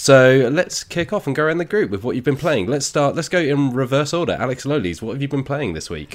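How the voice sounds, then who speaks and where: With hardly any pauses, a man talks at a fairly quick pace in a fairly high pitch, showing lively intonation and vocal fry. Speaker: podcast host. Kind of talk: casual chat. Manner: joking, bantering.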